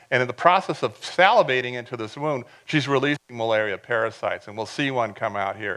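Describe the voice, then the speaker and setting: With hardly any pauses, a man talks at a very fast pace in a bright, sharp tone at a medium pitch. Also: ordinary pitch variation. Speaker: professor. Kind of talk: lecture.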